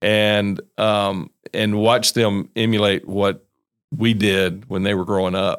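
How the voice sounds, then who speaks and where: Very slowly and in a monotone, flat delivery, a man with a Southern US accent speaks at a fairly low pitch on a very clean recording with a silent background. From North Carolina. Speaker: pastor. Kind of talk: casual interview.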